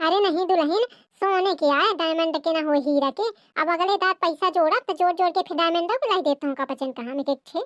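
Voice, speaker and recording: An extremely high-pitched, female-sounding cartoonish character voice at a very fast pace. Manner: cunning, wheedling.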